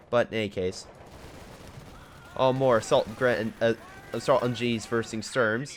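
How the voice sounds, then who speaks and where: Amid noticeable background noise, a man talks in an animated tone. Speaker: gaming commentator. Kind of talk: live commentary. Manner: casual, animated.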